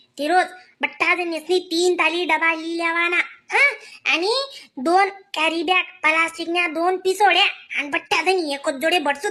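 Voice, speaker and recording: A woman's cartoonish character voice, extremely high-pitched, with fairly even intonation and a fairly slow pace. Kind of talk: cartoon comedy. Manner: fast, chattering, conspiratorial.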